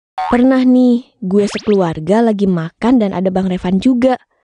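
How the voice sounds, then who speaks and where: A woman's fairly high voice with ordinary pitch variation, over music in the background. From Yogyakarta. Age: 20s. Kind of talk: animated story narration. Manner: casual, slangy.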